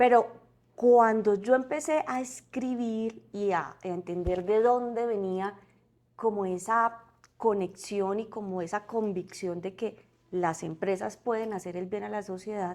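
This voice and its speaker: At a fairly slow pace, a woman speaks in a medium pitch with ordinary pitch variation. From Colombia, Santander. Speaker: corporate community relations director. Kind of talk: podcast interview. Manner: hesitant, with fillers and repetitions.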